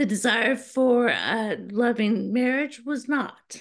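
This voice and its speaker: The background is quiet. Intonation stays fairly even. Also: woman. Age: 60s. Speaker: guest. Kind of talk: interview. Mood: earnest personal testimony. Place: home room. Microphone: video call.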